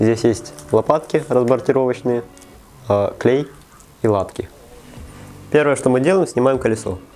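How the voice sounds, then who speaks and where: A man's medium-pitched voice with lively intonation, very even loudness and long, frequent pauses, music playing in the background. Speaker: bike tutorial host. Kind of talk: how-to tutorial narration.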